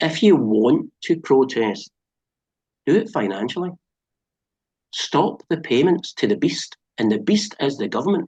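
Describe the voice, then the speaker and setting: A man with a fairly high pitch and vocal fry speaks at a fairly slow pace, his pitch swinging very widely between long, frequent pauses, in a dry, close sound with no echo. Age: 60s. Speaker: former driving instructor. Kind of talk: interview. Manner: animated.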